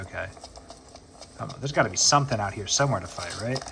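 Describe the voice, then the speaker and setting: A man with an American accent at a very fast pace, amid audible room echo and noticeable background noise. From US South. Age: 20s. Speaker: gaming YouTuber. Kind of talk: gameplay commentary. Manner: casual, hesitant with fillers.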